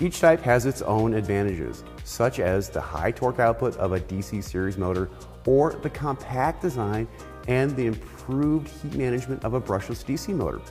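Faint music plays behind a man speaking in a fairly low voice. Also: moderate pace. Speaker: automotive trainer. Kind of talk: lecture. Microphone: lapel.

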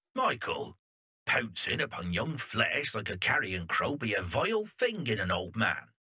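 In a raspy, put-on character voice, a man speaks at a medium pitch and a moderate pace. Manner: gossipy, bemused.

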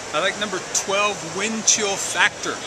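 A man talks with loud background noise behind him. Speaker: horse racing vlogger and bettor. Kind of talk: casual vlog commentary on race day. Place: street. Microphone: phone near.

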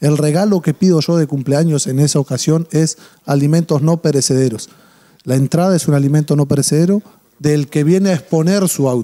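A man talks at a fairly quick clip with very even loudness against a quiet background. His pitch is fairly high, with ordinary variation and a dark, mellow tone. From Uruguay. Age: 40s. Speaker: charity organizer; interview guest. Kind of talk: TV interview. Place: studio. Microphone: handheld.

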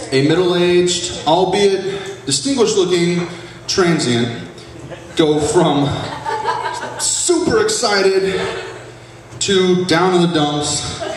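A man's high voice at a very slow pace, with ordinary pitch variation, long, frequent pauses and very even loudness, plus audible room echo and noticeable background noise. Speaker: stand-up comic. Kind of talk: stand-up comedy routine. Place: stage. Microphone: camera far.

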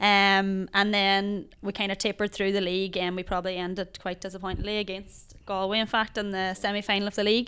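A woman with an Ulster accent speaks at a very fast pace with hardly any pauses, her bright, sharp tone held in a flat monotone. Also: medium pitch for a woman. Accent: Ulster Irish. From Ireland, Donegal. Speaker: Gaelic football player and teacher. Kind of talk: casual interview. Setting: hotel. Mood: reflective, slightly disappointed. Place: studio. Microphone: handheld.

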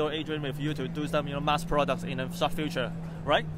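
A man with a fairly high voice rattles along at a very fast pace in a flat monotone. The sound is dry with no echo, though background noise is noticeable. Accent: Hong Kong. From Hong Kong. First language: Cantonese. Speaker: toy channel host and interviewer. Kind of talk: casual on-site interview. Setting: toy convention floor. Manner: hesitant, halting in English. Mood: jokey, lively. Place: hall.

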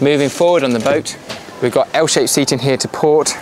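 Over noticeable background noise, a man talks with ordinary pitch variation, and the sound is dry with no echo. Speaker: boat sales representative. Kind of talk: on-board walkthrough tour of a boat for sale. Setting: outdoors aboard a boat at a boat show. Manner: brisk, upbeat salesman patter with run-on descriptions. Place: boat.

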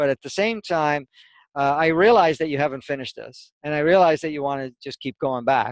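Over a quiet background, a man talks at a fairly quick pace with ordinary pitch variation, the sound dry with no echo. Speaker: spiritual teacher. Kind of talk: interview answer. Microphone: headset.

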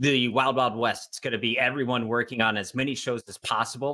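The man's tone is bright and sharp. He moves at a fairly quick pace with fairly even intonation. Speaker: esports commentator. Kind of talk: casual panel discussion. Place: home room.

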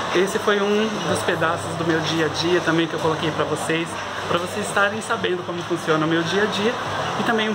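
A man talks at a fairly quick pace. Loud background noise is heard behind him. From Brazil. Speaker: vlogger promoting a depilation clinic. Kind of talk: sales pitch. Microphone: phone near.

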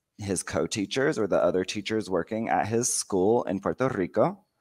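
A man with an American accent speaks against a quiet background. His pitch varies in an ordinary way. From United States. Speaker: bilingual educator and teacher trainer. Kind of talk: conference presentation. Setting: video call. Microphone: headset.

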